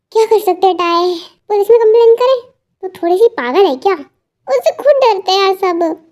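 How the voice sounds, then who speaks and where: A woman puts on a character voice at an extremely high pitch. She speaks at a fairly quick pace with lively intonation. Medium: read story. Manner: joking, bantering.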